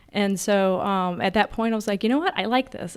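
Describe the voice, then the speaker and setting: At a very fast pace, a woman with a medium pitch speaks with fairly even intonation in a very clean recording with a silent background. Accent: American. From Virginia, rural Verona. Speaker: construction business development manager. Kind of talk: casual interview.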